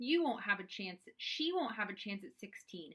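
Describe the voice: What you hear is plain reading aloud.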